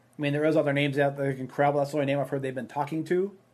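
A man with a Minnesotan accent, fairly high in pitch, at a very fast pace. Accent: Minnesota. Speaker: sports podcast co-host. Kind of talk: casual chat.

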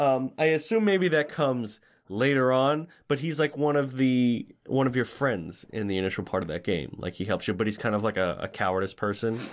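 A man of medium pitch talks fairly quickly in an ordinary speaking voice with lively intonation. The recording is very clean, the background silent. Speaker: podcast host. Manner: joking, playful.

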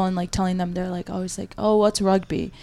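A woman's dark, mellow tone in a flat monotone. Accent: American. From Michigan. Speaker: college rugby player. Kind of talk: casual interview. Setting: small podcast room in a library.

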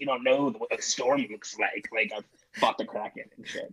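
Using a put-on character voice, a man pitches his speech fairly high. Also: moderate pace. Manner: gruff, world-weary.

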